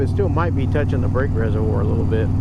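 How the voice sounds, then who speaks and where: The speech comes at a very fast pace. Noticeable background noise and audible room echo are present. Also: man. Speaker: motorcycle vlogger. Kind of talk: casual vlog commentary. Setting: riding a motorcycle outdoors.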